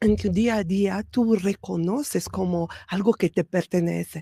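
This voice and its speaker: Speaking very slowly, a woman uses a medium pitch. Her pitch rises and falls in an ordinary way. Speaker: spiritual podcast host. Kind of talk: spiritual talk. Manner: soft-spoken; hesitant fillers.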